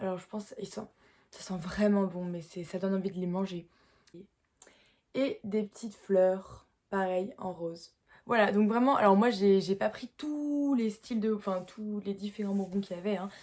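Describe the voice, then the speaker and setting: A woman with a medium pitch and ordinary pitch variation talks at a fairly slow pace. Her loudness swings widely, and she takes long, frequent pauses. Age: young. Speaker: horse rider. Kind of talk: casual talk to camera.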